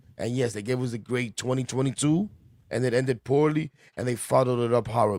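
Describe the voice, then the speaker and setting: At a fairly quick pace, a man talks in an animated tone at medium pitch. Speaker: sports podcast host. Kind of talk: casual sports talk. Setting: live stream. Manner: fast.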